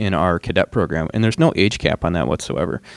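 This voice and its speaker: In a plain, everyday voice, a man speaks with an American accent at a fairly low pitch. His intonation is lively and his pace fairly quick. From Michigan. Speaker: assistant chief pilot. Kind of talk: interview conversation. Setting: live on a college campus.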